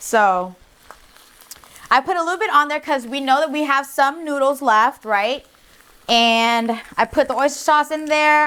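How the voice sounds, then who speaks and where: A woman speaks in a raised, projected voice at a high pitch. Her tone is animated and her intonation lively. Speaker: cooking show host. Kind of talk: cooking tutorial. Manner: loud; animated, sassy.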